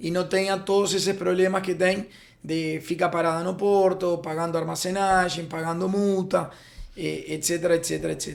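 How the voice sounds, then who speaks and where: Someone with a Spanish accent speaks at a moderate pace in a monotone, flat intonation. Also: man, high pitch for a man. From Uruguay. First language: Spanish (speaking Portuguese). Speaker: freight forwarding company founder. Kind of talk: podcast interview. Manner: halting, many fillers.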